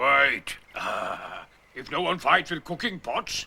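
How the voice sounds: A man does a raspy, cartoonish character voice at a high pitch. He speaks very slowly with lively intonation.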